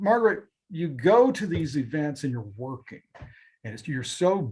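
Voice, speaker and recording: A somewhat breathy voice with a dark, mellow tone moves at a moderate pace. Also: man. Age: 60s. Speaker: TV news reporter. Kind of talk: interview. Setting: live online show.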